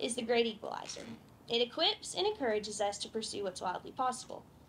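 The speech races at a very fast pace over light background noise. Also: woman. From Kentucky. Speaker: agriculture student; speaker. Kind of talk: prepared speech. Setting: outdoor tent event with audience. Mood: warm, grateful.

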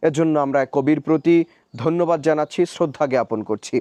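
In a dry, close recording with no echo and a quiet background, a man speaks at a fairly high pitch with a dark, mellow tone and ordinary pitch variation. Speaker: poetry reader and book reviewer. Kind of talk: poetry reading with commentary.

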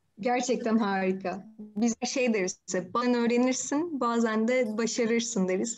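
A woman speaks in a normal speaking voice at a fairly slow pace, with a fairly high pitch and fairly even intonation. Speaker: interviewer. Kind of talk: interview questions. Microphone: video call.

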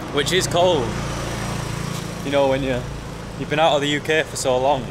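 There is noticeable background noise behind a man speaking. He goes at a moderate pace with ordinary pitch variation. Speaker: travel vlogger. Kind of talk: casual vlog chat. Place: street. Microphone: phone near.

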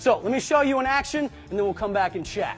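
A man's voice with faint music in the background. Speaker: youth flag football coach. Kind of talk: tutorial. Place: hall.

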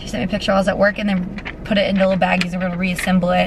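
Her intonation stays fairly even. The woman is heard over noticeable background noise. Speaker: vlogger. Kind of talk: casual vlog chat. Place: car. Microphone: phone near.

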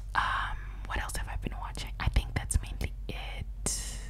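A woman whispering over light background noise. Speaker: ASMR creator. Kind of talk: soft casual chat, ASMR-style. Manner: close-mic whispered rambling. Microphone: studio mic.

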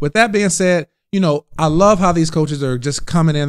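A man with an American accent speaks over a quiet background, his pitch rising and falling in an ordinary way. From Indiana, South Bend; Indiana. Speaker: podcast host. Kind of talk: interview; casual chat. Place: home room. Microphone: studio mic.

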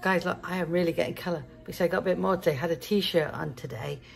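With vocal fry and a fairly low pitch, a woman talks at a fast pace in fairly even intonation.

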